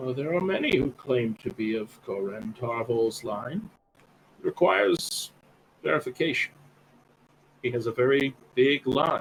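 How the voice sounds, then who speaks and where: Using a put-on character voice, a man speaks at a medium pitch and a moderate pace, leaving long, frequent pauses. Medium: actual play. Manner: slow, formal, terse.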